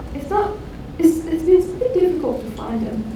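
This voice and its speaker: A woman with a non-native accent, in audible room echo and noticeable background noise. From Iran. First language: Persian. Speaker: student presenter. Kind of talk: conference talk. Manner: halting.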